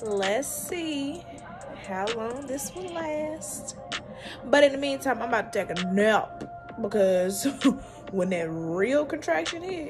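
Over clear background music, a woman speaks at a very slow pace with long, frequent pauses and big swings in loudness. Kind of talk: casual vlog chat. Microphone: phone near.

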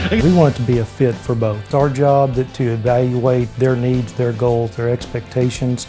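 With clear music playing behind him, a man talks at a moderate pace and medium pitch, his intonation fairly even and his speech hardly pausing at all. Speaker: auctioneer at a real estate and auction company. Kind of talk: interview answer. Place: office.

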